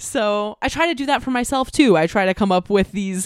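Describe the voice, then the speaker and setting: A woman with an American accent and a normal speaking voice, ordinary pitch variation, moderate pace, dry, close sound with no echo, and a very clean recording with a silent background. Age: 20s. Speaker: podcaster and multidisciplinary artist. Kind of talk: casual chat.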